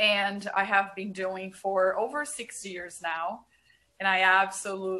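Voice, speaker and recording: A woman with a Brazilian accent speaks at a very slow pace. Her tone is bright and sharp, and her pitch is medium. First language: Portuguese. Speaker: marriage and family therapist. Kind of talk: podcast interview.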